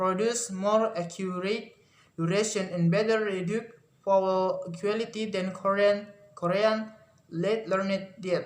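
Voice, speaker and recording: Fairly even intonation in an Indonesian accent, with audible room echo. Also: man. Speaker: university student. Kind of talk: class presentation. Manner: halting, many fillers and self-corrections.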